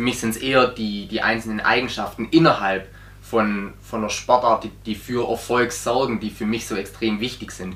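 A man talks at a moderate pace and medium pitch. His intonation stays fairly even. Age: 20s. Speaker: handball coach. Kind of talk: casual interview. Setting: on camera. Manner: halting, many repetitions and fillers.

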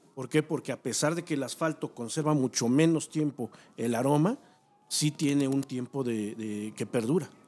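Using a dark, mellow tone, a man speaks at a moderate pace in a fairly high pitch with ordinary pitch variation. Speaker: search dog handler. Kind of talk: casual chat. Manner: halting.

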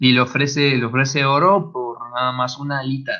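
With a Mexican accent, a man speaks at a medium pitch and a moderate pace, his tone bright and sharp and his intonation fairly even. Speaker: podcast co-host. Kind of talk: casual chat.

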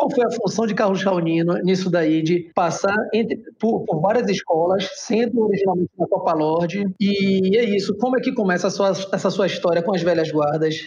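Speech with hardly any pauses over noticeable background noise. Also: moderate pace. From Salvador, Bahia, Brazil. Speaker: podcast host. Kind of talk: interview.

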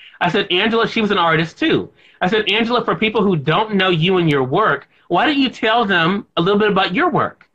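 A man with an American accent speaks at a fairly quick pace in a raised, projected voice with a bright, sharp tone. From Mississippi, US South. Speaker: radio and TV host, author. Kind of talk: interview.

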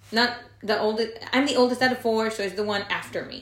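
A woman's monotone, flat delivery with audible room echo and noticeable background noise. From Monterrey, Mexico. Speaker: podcast co-host, real estate lender. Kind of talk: casual chat.

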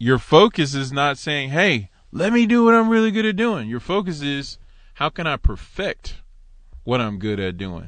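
Against a quiet background, the speaker talks fairly slowly in an animated tone with very wide pitch swings. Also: man. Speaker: solo podcast host teaching Torah. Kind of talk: religious teaching monologue. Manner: animated, excitable.

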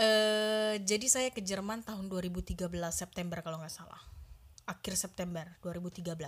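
Somewhat breathy and pitched in the middle range, a woman's voice keeps a fairly even intonation. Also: fairly slow pace, big swings in loudness. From Indonesia, Medan (North Sumatra). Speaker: cook. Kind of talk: casual interview.

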